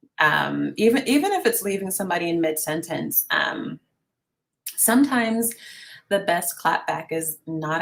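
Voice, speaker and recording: A woman's voice with vocal fry and lively intonation. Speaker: YouTube content creator. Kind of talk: casual panel discussion.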